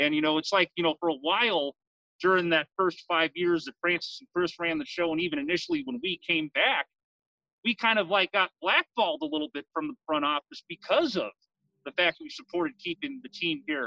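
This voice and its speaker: A man with an American accent talks at a fairly quick pace in a high, bright, sharp voice with lively intonation, the sound dry and close with no echo. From San Leandro, California. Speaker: fan radio co-host, Marine veteran. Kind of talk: casual chat. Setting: outdoors.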